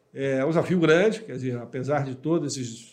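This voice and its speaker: Audible room echo around a man's voice of ordinary pitch variation. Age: 50s. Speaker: business executive. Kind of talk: interview.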